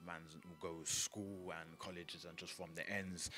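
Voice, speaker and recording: The voice carries vocal fry with a bright, sharp tone. Audible room echo surrounds it. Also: man. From North London, England. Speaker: grime MC. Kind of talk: interview.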